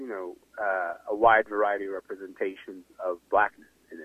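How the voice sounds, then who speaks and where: The man talks fairly quickly in a plain, everyday voice, his pitch varying in an ordinary way. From Sudan, moved to Canada at 12. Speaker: writer and broadcaster. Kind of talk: interview. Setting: remote line.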